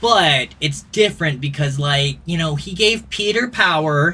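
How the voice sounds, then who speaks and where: Over noticeable background noise, a man with a fairly high pitch talks at a very slow pace, his pitch swinging very widely. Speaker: gaming streamer. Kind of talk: casual chat. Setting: live stream.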